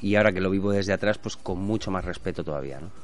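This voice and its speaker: A man's very deep, low voice over music in the background. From Spain, born in Barcelona. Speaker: businessman and former bullfighter. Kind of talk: casual chat.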